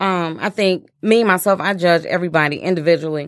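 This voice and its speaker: A woman with a plain, everyday voice, fairly low in pitch, at a moderate pace with fairly even intonation. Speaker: guest. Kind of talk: casual chat.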